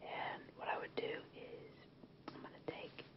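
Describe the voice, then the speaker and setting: Through noticeable background noise, a woman's whisper comes at a fairly slow pace. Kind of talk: ASMR movie recommendation talk to camera. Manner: whispered, soft-spoken, relaxing.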